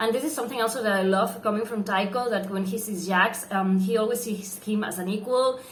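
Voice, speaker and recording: A woman with a non-native accent talks at a fairly quick pace, pitched fairly high. She leaves hardly any pauses, and there is noticeable background noise. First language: not English. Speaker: book reviewer. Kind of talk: book review vlog. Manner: halting, many fillers.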